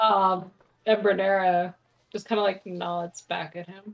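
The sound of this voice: A woman speaks at a medium pitch with vocal fry. Her pitch barely moves, and her pace is fairly slow.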